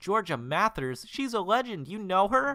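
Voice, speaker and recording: A man speaks at a high pitch in a put-on character voice, with an excited tone and a moderate pace. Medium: game stream. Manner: excited, eager.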